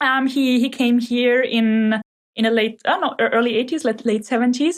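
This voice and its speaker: This woman's high-pitched voice holds a very even loudness throughout. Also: moderate pace. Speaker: startup founder. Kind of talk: podcast interview. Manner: energetic.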